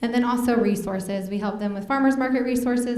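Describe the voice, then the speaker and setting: Over noticeable background noise and audible room echo, a woman speaks with a Midwestern American accent. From North Central Kansas, Smith Center. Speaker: state agriculture program staffer. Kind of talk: presentation. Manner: hesitant, many fillers.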